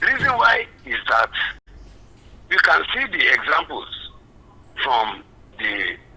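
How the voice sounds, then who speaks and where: Against noticeable background noise, a man with a Nigerian accent talks at a fairly slow pace. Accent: Nigerian, grounded. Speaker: caller. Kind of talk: phone-in comment.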